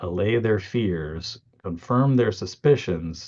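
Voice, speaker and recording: The man's voice is somewhat breathy, with ordinary pitch variation. The background is quiet. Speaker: marketing coach co-hosting a live session. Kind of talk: live teaching chat. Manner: halting, many fillers.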